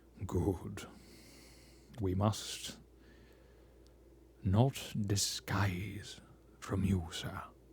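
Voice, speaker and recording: Putting on a character voice, a man speaks in a resonant, fairly low tone, very slowly, with fairly even intonation, long and frequent pauses, and clear background noise. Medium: read story. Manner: pompous, weighty.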